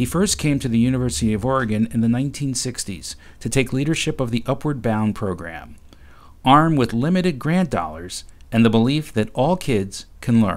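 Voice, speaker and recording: A man speaks at a fairly quick pace with lively intonation. His pitch is medium, and he has an unremarkable speaking voice. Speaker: journalist narrator. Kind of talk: documentary narration.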